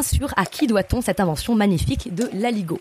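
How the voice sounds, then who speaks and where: Lively intonation marks this woman's speech. She talks at a fairly quick pace. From Aubrac, Lozère side (Nasbinal), southern France. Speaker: tour guide and storyteller. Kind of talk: storytelling.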